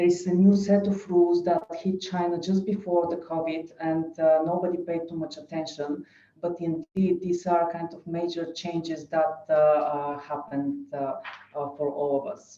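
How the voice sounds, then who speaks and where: The speaker has a non-native accent and fairly even intonation. The loudness swings widely. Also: woman, fairly low pitch for a woman, moderate pace. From Bulgaria. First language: Bulgarian. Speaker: lawyer. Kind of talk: webinar presentation. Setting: online webinar. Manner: hesitant, many fillers.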